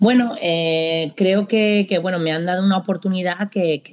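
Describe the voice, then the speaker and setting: Here is a woman with an ordinary speaking voice. She talks at a moderate pace with ordinary pitch variation. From Spain. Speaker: football coach. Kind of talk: interview.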